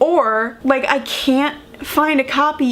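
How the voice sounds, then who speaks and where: There is noticeable background noise as a woman speaks with an American accent and fairly even intonation. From United States. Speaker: book vlogger. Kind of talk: casual vlog talk. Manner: conversational, many fillers.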